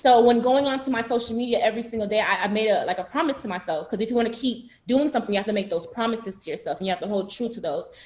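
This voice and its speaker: The speech runs at a very fast pace with hardly any pauses, in a strong Haitian accent. Pitch varies in an ordinary way. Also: woman, fairly high pitch for a woman. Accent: Haitian Creole accent, heavy. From South Florida, Broward County, Haitian American. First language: Haitian Creole. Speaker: university student, pageant titleholder. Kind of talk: panel discussion. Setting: video call.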